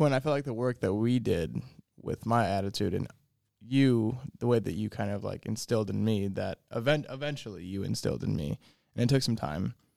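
This man has a dark, mellow tone, an American accent, a medium pitch with ordinary variation, and a fairly quick pace. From Fort Wayne, Indiana. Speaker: golf instructor. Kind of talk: casual chat.

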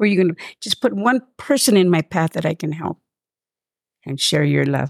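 A woman speaks in a very deep, low pitch with an American accent. The sound is dry and close, with no echo. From East Los Angeles. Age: 70s. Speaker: community mentor and ministry volunteer. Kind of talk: testimony. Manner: heartfelt, repetitive.

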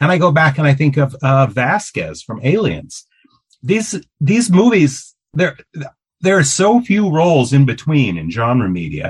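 Somewhat breathy, a man with a fairly high pitch speaks at a fairly slow pace with very wide pitch swings. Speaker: podcast host. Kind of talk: casual interview.

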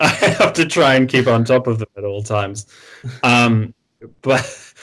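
A man with an Australian accent, medium pitch, a fairly slow pace and long, frequent pauses. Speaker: community member interviewee. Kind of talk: casual chat. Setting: remote call.

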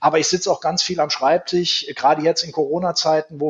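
With a plain, everyday voice, a man talks at a fairly high pitch and keeps his intonation fairly even. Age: 40s. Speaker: prison director. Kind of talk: interview.

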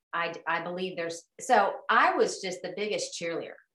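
A woman's plain, everyday voice with an American accent, medium in pitch, with ordinary pitch variation. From Oklahoma, US. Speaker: life coach. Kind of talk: casual interview.

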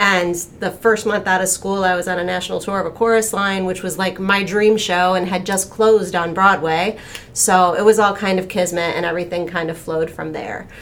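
A woman talks at a fairly quick pace in a medium pitch with monotone, flat intonation. Noticeable background noise runs underneath. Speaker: talent agent, former actor and dancer.

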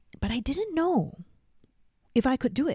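A woman speaks with a dark, mellow tone and very wide pitch swings. The sound is dry and close, with no echo. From Singapore. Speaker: life coach, podcast host. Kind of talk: solo podcast monologue. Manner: laughs often, casual.

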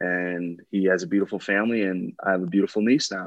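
A man with an American accent speaks in a fairly low pitch. The sound is dry and close with no echo, over a quiet background. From Wisconsin (West Bend, near Milwaukee). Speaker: professional football player. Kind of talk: interview.

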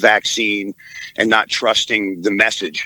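With an American accent and a bright, sharp tone, the speaker goes at a fairly slow pace in a dry, close sound with no echo. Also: man. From Maryland, US. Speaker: caller. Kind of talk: casual chat.

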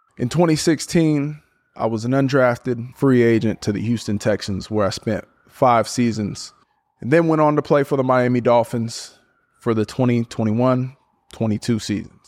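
This is an ordinary speaking voice. It goes at a moderate pace with ordinary pitch variation. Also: man, medium pitch for a man. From US West Coast (Portland, Oregon). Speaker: podcast host and NFL football player. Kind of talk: solo podcast reflection.

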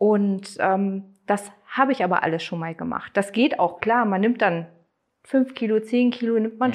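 A woman speaks at a moderate pace with a fairly high pitch and ordinary pitch variation. Hers is an unremarkable speaking voice. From Germany, Neustadt. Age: 40s. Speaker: former coaching client. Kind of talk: interview testimony.

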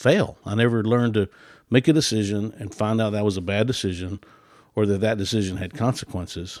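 Fairly low in pitch, a man speaks in a normal speaking voice at a moderate pace with fairly even intonation, on a very clean recording with a silent background. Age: 60s. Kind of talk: casual chat.

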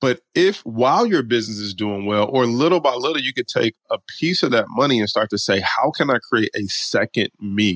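A man with an American accent and an unremarkable speaking voice at medium pitch, lively intonation and moderate pace, in dry, close sound with no echo and a quiet background. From Detroit, Michigan, US. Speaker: stock market coach and options trader. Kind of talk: interview.

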